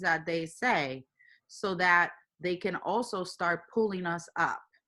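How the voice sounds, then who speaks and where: A woman's bright, sharp tone in a Spanish accent. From Puerto Rico. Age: young. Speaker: engineering manager. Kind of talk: interview.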